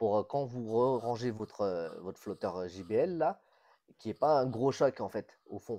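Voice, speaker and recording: A man speaks at a moderate pace in a dark, mellow tone. His pitch is medium, and the background is quiet. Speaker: reef aquarium hobbyist. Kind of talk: casual chat.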